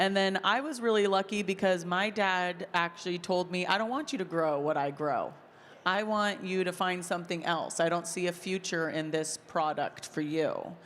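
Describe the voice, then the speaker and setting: In a very clean recording with a silent background, a woman uses a normal speaking voice at medium pitch, moderate pace and ordinary pitch variation. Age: 30s. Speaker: farmer and content creator. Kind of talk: panel discussion.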